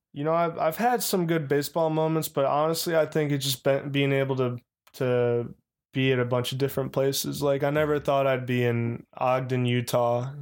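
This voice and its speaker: A man with an unremarkable speaking voice talks at a moderate pace and fairly high pitch, with fairly even intonation and very even loudness, in a very clean recording with a silent background. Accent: American. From Chicago. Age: 20s. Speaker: professional baseball player. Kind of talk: casual chat.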